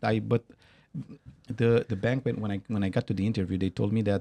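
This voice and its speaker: The recording is dry and close with no echo, carrying a man's fairly low, dark, mellow voice and fairly even intonation. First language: Romanian. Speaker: company founder. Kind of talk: interview. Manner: halting.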